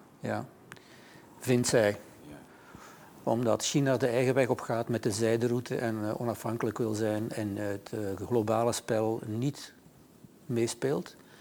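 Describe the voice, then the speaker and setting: Pausing long and often, a man speaks at a fairly slow pace and medium pitch with fairly even intonation. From Flanders. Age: 60s. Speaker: author. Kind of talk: interview. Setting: studio.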